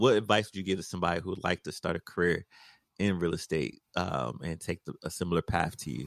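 Speaking very fast with vocal fry, a man with a very deep, low voice is heard on a very clean, dry, close recording with no echo and a silent background. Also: ordinary pitch variation. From United States. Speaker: podcast host. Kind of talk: podcast interview.

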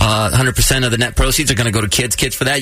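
Noticeable background noise behind a man talking with ordinary pitch variation. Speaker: radio host. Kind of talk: radio morning-show patter. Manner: animated, bantering, upbeat, rapid-fire jokes and ad-libbed teases.

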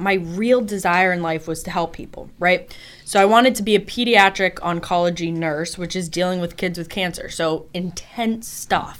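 In an ordinary speaking voice, a woman with an American accent talks at a moderate pace and a medium pitch, with hardly any pauses. Her intonation is fairly even while her loudness swings widely. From Boston. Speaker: life coach. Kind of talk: interview. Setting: radio studio.

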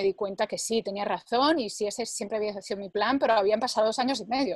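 In a dry, close sound with no echo, a woman talks very fast with hardly any pauses, at a fairly high pitch and with fairly even intonation. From Spain, Barcelona. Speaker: language learning product creator. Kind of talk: interview.

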